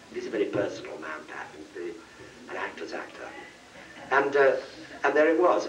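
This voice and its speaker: In an English accent, a man talks at a very fast pace. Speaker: actor. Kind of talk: anecdote told on convention panel. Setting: convention panel, live audience.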